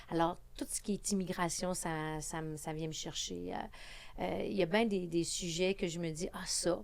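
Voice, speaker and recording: Ordinary pitch variation marks this woman's speech in a Quebec accent. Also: fairly low pitch for a woman, fairly slow pace. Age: 60s. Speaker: politician. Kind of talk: podcast interview.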